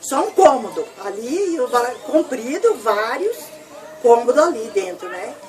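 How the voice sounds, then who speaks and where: A woman's high-pitched, fairly slow speech with very wide pitch swings and noticeable background noise. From southern Brazil (Rio Grande do Sul). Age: 70s. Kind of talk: interview answer.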